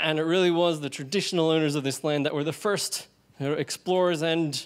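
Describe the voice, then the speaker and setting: A man with a high pitch and ordinary pitch variation. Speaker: event MC. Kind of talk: event hosting with jokes. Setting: pub event with live audience. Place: bar. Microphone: handheld.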